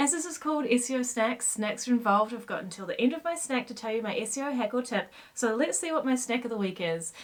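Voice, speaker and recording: Very fast and high-pitched, a woman with a New Zealand accent speaks with lively intonation. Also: hardly any pauses. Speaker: SEO consultant; presenter. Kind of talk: casual talk to camera. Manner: upbeat, playful. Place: home room.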